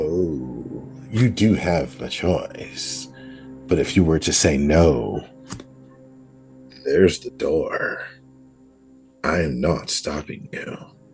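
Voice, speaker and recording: Over faint music in the background, a man uses a raspy, very deep, low put-on character voice, speaking very slowly with long, frequent pauses. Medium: actual play. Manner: cryptic, smooth, toying.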